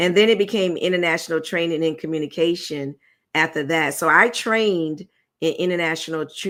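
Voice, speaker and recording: Speaking at a fairly quick pace with an American accent, a woman shows ordinary pitch variation in a very clean recording against a silent background. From Virginia, Tidewater area. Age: 60s. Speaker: business owner and public speaker. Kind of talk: interview. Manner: fast.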